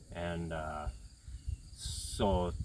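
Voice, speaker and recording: A man talks with a Minnesotan accent. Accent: Minnesota. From central Minnesota. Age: young. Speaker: aspiring sheep and cattle farmer. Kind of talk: casual interview. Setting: on a farm. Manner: animated.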